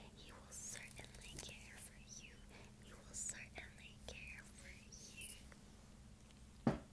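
A woman whispers in a gentle, soothing tone over noticeable background noise. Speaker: ASMR creator. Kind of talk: scripture reading for relaxation and sleep. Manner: soft-spoken, gentle, soothing.

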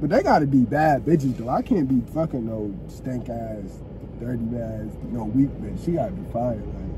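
A man speaks at a moderate pace with big swings in loudness. The sound is dry with no echo, though there is noticeable background noise. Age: 20s. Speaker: podcast host. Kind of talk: casual chat. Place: car. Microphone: phone near.

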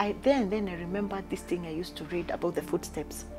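Over clear background music, a woman speaks at a moderate pace with ordinary pitch variation. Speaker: interview guest. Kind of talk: interview answer. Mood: emotional, reflective about loss. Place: home room.

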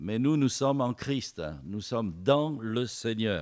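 A man speaks very slowly, and the background stays quiet. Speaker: preacher. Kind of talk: sermon. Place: church. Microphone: podium.

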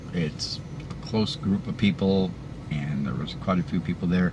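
A man's very deep, low voice at a fairly slow pace over noticeable background noise. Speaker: vlogger sharing denture experience. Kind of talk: casual vlog chat. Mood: encouraging, upbeat. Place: car. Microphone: phone near.

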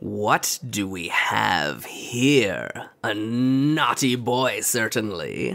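In a put-on character voice, a man at medium pitch speaks at a very slow pace with lively intonation and hardly any pauses. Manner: menacing, mocking.

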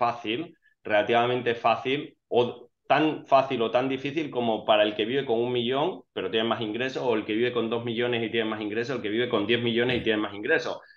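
In a quiet background, a man with an ordinary speaking voice talks at a moderate pace, medium in pitch, with fairly even intonation. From Spain. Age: 40s. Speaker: financially independent investor; interview guest. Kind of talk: interview. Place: home room. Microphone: earbuds.

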